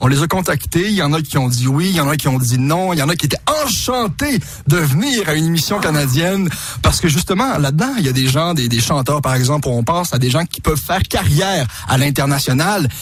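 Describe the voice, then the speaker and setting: With a Quebec accent, a man speaks at a fairly quick pace and a fairly high pitch. There is noticeable background noise. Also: lively intonation. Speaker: TV prankster and radio host. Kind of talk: radio interview.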